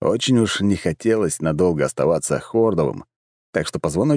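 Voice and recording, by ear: This natural-voiced reading aloud takes place with a quiet background.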